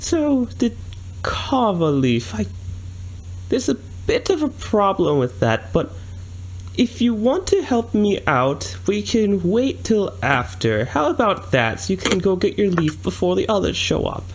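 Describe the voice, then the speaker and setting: A man uses a put-on character voice at a fairly slow pace. Clear background noise is audible. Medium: actual play. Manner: polite, bargaining.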